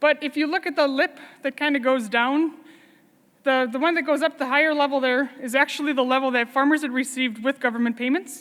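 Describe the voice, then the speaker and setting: Speaking at a fairly quick pace, a woman uses a high pitch. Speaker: dairy farmer and farm organization leader. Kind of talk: conference talk. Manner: fast.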